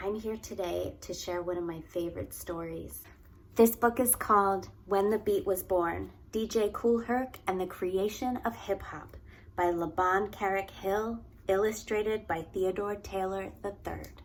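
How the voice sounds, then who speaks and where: A woman speaks at a fairly slow pace and a medium pitch, in a slight Philadelphia accent. Her intonation stays fairly even. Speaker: early childhood educator. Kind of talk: children's read-aloud.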